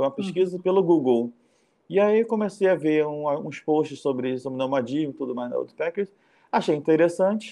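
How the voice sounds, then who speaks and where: A man's fairly high voice, dark and mellow in tone, with lively intonation and a fairly quick pace. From Rio de Janeiro, Brazil. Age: 40s. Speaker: nomadic volunteer traveler. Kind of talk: casual interview.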